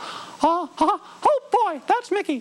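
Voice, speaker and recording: Someone uses a put-on character voice at an extremely high pitch. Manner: cheerful, laughing.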